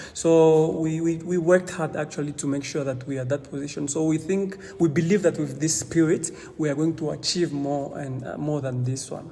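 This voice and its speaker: Against noticeable background noise, a man with a non-native accent talks at a moderate pace with hardly any pauses, fairly high pitch and fairly even intonation. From DR Congo. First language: not English. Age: 20s. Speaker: young refugee advocate. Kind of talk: interview conversation. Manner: halting, with many repetitions.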